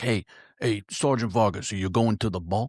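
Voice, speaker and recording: Putting on a raspy character voice in a New York accent, a man talks at a fairly low pitch and a moderate pace with ordinary pitch variation, with a dry, close sound with no echo against a quiet background. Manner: pushy, forcing.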